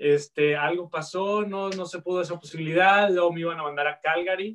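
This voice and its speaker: Fairly even intonation in a man's high voice. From Guadalajara, Mexico. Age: 30s. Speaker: chef, entrepreneur. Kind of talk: casual interview.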